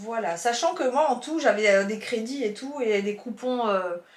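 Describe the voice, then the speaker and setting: Using lively intonation, a woman speaks at a high pitch and a very slow pace. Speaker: YouTuber, haul vlogger. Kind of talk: casual haul video chat. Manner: chatty, halting with fillers.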